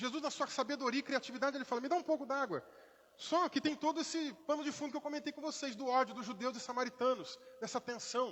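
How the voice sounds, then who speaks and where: An animated man talks at a very fast pace in an extremely high pitch with ordinary pitch variation. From Brazil, Rio de Janeiro, raised in interior Minas Gerais. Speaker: pastor. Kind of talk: sermon. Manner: conversational, animated.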